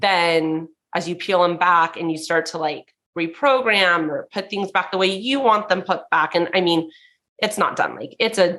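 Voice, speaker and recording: A loud woman with an American accent, fairly low pitch, a bright, sharp tone, ordinary pitch variation and a moderate pace, against a quiet background. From Southern California. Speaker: entrepreneur. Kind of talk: casual chat.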